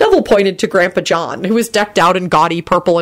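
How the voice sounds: This is a natural reading voice. It is heard here.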